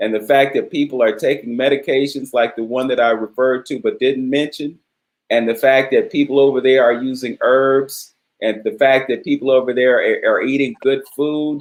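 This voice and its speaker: At a moderate pace, a man with an American accent speaks at a medium pitch. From Cleveland, Ohio, US. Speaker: talk show host. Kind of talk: interview. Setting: live stream video call. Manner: animated.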